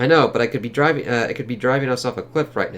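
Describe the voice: The recording captures plain reading aloud.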